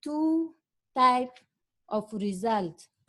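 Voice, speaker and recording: At a very slow pace, a woman with a non-native accent speaks in a high pitch with lively intonation. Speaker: monitoring and evaluation researcher. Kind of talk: conference presentation.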